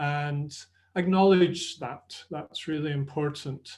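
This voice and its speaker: Speaking in a Scottish accent, a man has a fairly high voice with ordinary pitch variation. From Scotland. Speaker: sports nutrition presenter. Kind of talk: webinar presentation. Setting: online webinar. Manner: conversational.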